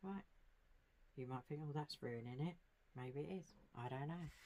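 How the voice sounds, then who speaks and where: The voice is quiet. The words come out mumbled. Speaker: craft tutorial creator. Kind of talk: tutorial. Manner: mumbling, quiet; casual, chatty.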